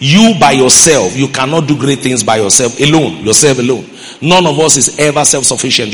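A man speaks at a fairly quick pace with a medium pitch and ordinary pitch variation. Noticeable background noise and audible room echo are present. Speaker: pastor. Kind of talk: sermon. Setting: church.

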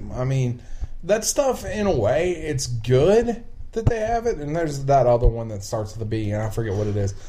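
Very wide pitch swings come with a strong Appalachian accent at a moderate pace. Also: man, medium pitch for a man. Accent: Appalachian Southern, strong. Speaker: podcast host. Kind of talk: casual chat. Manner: casual, profane, talkative.

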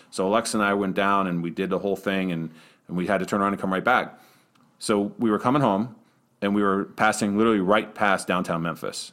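A man with an American accent at a very fast pace, fairly low in pitch, on a very clean recording with a silent background. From Western Pennsylvania. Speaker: arena public address announcer. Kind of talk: casual interview.

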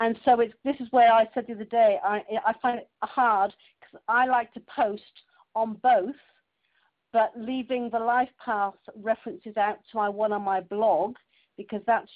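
Fairly high in pitch, a woman with a plain, everyday voice speaks with fairly even intonation. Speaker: webinar participant. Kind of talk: casual chat. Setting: phone conference. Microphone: telephone line.

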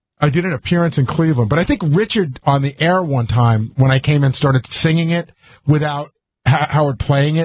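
With a somewhat breathy, fairly high voice, a man speaks at a fairly quick pace with ordinary pitch variation and very even loudness. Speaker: radio show co-host. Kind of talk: casual radio banter. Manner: excitable, rambling.

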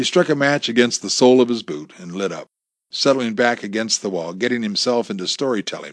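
A quiet backdrop behind natural-sounding reading aloud

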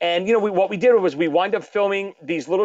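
A man with a Brooklyn accent. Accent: Brooklyn New York, noticeable. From Brooklyn, New York. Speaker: drummer, author and podcaster. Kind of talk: casual interview chat.

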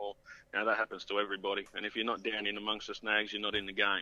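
Here is a man with an Australian accent. His voice sits fairly low. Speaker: fishing tackle sales rep. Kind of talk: casual interview. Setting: phone call.

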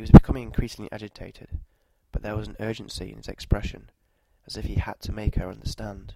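What comes through is an unforced reading voice.

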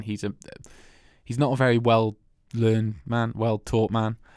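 On a very clean recording with a silent background, a man with a Welsh accent speaks at medium pitch and a moderate pace. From Wales. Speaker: film podcast host. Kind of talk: casual chat.

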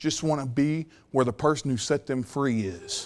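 Over a silent background in a very clean recording, a man speaks fairly slowly in an animated tone with lively intonation. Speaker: preacher. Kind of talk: sermon. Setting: church with congregation. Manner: animated, emphatic, exhorting the congregation; conversational, folksy with humor.

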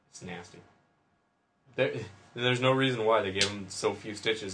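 Audible room echo surrounds a man whose bright, sharp tone carries fairly even intonation. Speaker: podcast host, submarine veteran. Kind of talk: casual chat.

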